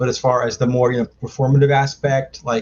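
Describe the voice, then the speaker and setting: A man's somewhat breathy, medium-pitched voice in an American accent, at a fairly quick pace. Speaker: filmmaker and trivia competitor. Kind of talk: interview. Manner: halting, many fillers.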